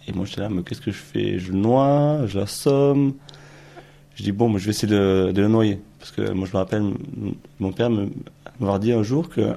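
Speech comes at a moderate pace with ordinary pitch variation and long, frequent pauses. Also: man. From Ariège, southern France. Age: 20s. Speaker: interviewee recalling a rural childhood. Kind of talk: testimony.

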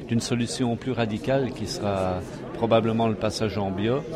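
There is noticeable background noise. Through it, a man speaks at a fairly low pitch. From France, Jura. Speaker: farmer. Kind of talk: interview. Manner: halting.

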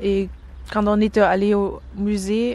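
A woman speaks at a very slow pace with a German accent. Her pitch is medium. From East Berlin, Germany. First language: German (speaking French). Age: 30s. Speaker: interviewee. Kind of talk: interview. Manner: halting.

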